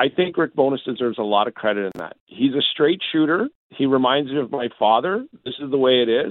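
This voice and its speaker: With an ordinary speaking voice at a medium pitch, a man talks at a fairly quick pace using lively intonation. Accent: Canadian. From Southern Alberta, Canada. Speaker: hockey broadcaster. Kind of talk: sports radio interview.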